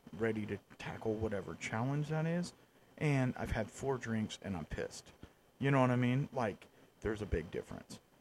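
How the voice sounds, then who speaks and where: Lively intonation marks this man's medium-pitched voice, delivered at a moderate pace. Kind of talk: casual chat.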